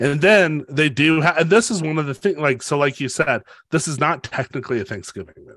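With an American accent and an unremarkable speaking voice, a man talks at a fairly quick pace and a fairly high pitch, showing ordinary pitch variation and big swings in loudness. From US. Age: 40s. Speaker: podcast co-host, writing teacher. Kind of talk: casual chat.

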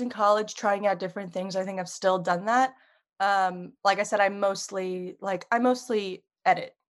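With an American accent, a woman uses an ordinary speaking voice at medium pitch and a moderate pace over a quiet background. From US Northeast, Long Island, New York. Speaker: podcast producer and video editor. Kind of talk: casual chat.

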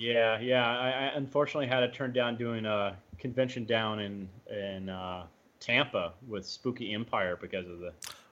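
In an ordinary speaking voice, a man at medium pitch talks at a moderate pace with ordinary pitch variation and big swings in loudness. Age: 30s. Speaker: actor. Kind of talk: casual chat.

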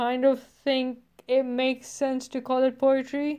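A woman speaks in a high voice at a fairly slow pace. The background is quiet. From no single home country, grew up moving between places. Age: 20s. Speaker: podcast host, student web developer. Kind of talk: casual monologue from scripted bullet points. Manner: rambling, self-deprecating.

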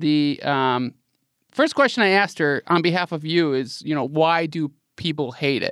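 A man with an ordinary speaking voice talks at a moderate pace, his pitch fairly high and varying in an ordinary way. The recording is very clean with a silent background and a dry, close sound with no echo. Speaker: podcast co-host. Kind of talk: casual chat.

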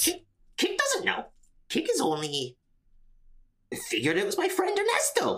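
A woman's put-on character voice, extremely high-pitched, at a moderate pace with long, frequent pauses. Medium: actual play. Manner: refers to self in third person.

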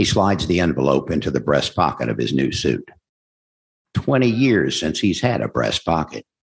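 Vocal fry marks a man's very deep, low voice as his pitch swings very widely. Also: moderate pace. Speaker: audiobook narrator. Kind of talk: Q&A session with audience. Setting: room with live audience and Zoom.

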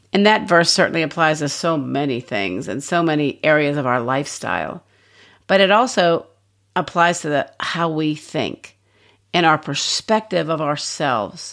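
In a very clean recording with a silent background, a woman with a very deep, low pitch talks at a moderate pace with lively intonation. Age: 60s. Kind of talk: devotional teaching talk.

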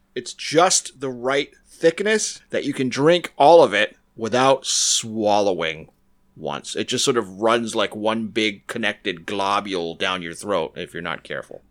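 A man's normal speaking voice at a medium pitch, with lively intonation and a fairly slow pace, in a very clean recording with a silent background. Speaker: comedy podcast co-host. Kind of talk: casual comedy chat. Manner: joking, playful.

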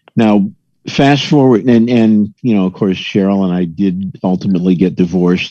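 Lively intonation runs through this man's fairly low-pitched voice, which has a dark, mellow tone. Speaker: caller. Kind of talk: casual chat. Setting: video call.

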